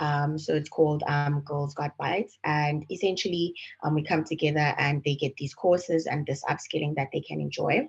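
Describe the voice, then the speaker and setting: A somewhat breathy woman speaks at a moderate pace with hardly any pauses. Her very deep, low pitch carries fairly even intonation. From South Africa. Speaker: panelist, client relations manager. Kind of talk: panel discussion. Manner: hesitant, many fillers.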